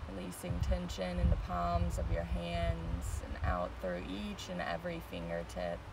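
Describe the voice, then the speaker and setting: A soft-spoken woman talks with hardly any pauses in a soothing, gentle tone. Loud background noise runs beneath her dry sound with no echo. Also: fairly slow pace. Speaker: meditation teacher. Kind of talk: guided meditation. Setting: outdoors on a beach, live stream. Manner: slow, soothing, gentle; calm, soft-spoken, with pauses. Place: beach. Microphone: phone near.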